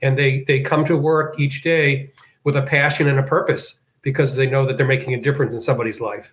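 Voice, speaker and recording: Very fast and somewhat breathy, a man with an American accent and a fairly high pitch speaks in a monotone, flat intonation. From Boston, US. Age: 70s. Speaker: senior living executive. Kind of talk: interview.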